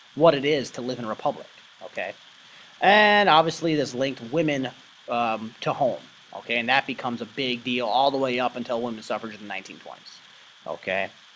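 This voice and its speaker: A man speaks at a very fast pace in a medium pitch. His pitch varies in an ordinary way. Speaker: history teacher. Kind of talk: lecture. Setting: recorded online presentation. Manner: casual, filler-heavy.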